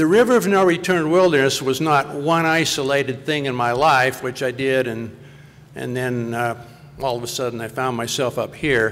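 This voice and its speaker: A man talks at a moderate pace, with ordinary pitch variation. Noticeable background noise is present throughout. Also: medium pitch for a man. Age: 60s. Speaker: conservation advocate. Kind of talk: panel talk.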